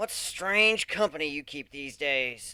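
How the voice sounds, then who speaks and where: A man puts on a character voice at a fairly high pitch. He speaks at a fairly slow pace. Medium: read story. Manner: cold, malicious, smug.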